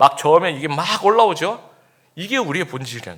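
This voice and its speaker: A man's fairly high-pitched voice with a bright, sharp tone at a fairly quick pace. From Busan, South Korea. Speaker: pastor. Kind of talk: sermon.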